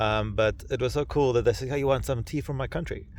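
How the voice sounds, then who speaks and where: A man speaks with vocal fry at a fairly quick pace and with ordinary pitch variation. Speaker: hiker and vlogger. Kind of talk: casual video diary. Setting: outdoors on mountain summit at night. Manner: loud.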